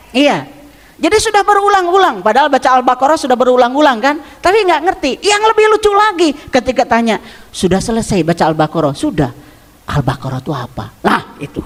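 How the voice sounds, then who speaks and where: With a West Javanese accent, the voice races at a very fast pace through very wide pitch swings over noticeable background noise. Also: man, extremely high pitch for a man. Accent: Sundanese Garut accent, can't lose it. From West Java, Garut (Sundanese). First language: Sundanese (speaking Indonesian). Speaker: Islamic preacher. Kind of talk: religious study lecture. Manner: conversational, interactive with audience.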